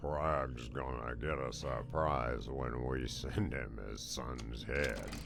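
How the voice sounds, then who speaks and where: A man uses a put-on character voice over loud background noise. He goes at a very slow pace with hardly any pauses. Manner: menacing.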